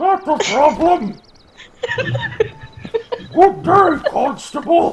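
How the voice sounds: A man's put-on character voice, extremely high in pitch, very slow, with long, frequent pauses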